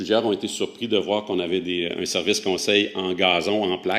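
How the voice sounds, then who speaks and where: At a moderate pace, a man with a Quebec accent speaks in a very deep, low voice. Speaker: horticulture researcher presenting a project. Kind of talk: conference presentation. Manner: hesitant, many filler sounds.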